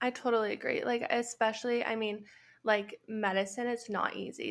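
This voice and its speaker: A woman with a Canadian accent and an unremarkable speaking voice, fairly high in pitch, fairly even in intonation and moderate in pace, on a very clean recording with a silent background. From Canada, Edmonton, Alberta. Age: 20s. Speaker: graduate student and clothing brand founder. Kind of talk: casual interview chat.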